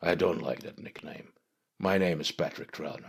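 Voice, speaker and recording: A man puts on a raspy character voice with a very deep, low pitch, moving at a moderate pace. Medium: read story. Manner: laid-back, self-assured.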